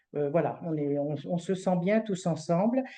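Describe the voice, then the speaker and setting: This woman speaks at a moderate pace in a medium pitch, her tone dark and mellow against a quiet background. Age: 60s. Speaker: retired hospital civil servant presenting a fundraising association. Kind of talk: online presentation. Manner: hesitant, many fillers.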